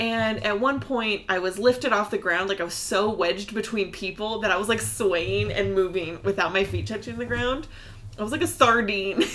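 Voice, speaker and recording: An American-accented woman of medium pitch, lively in intonation, at a moderate pace over noticeable background noise. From US, Pacific Northwest. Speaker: podcast host. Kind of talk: casual chat.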